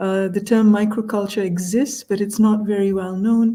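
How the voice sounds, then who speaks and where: Her voice is fairly high, somewhat breathy and dark and mellow in tone, with fairly even intonation. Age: 60s. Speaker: culture consultant, interview guest. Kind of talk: video call group chat. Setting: video call. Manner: slow, deliberate; hesitant, many fillers.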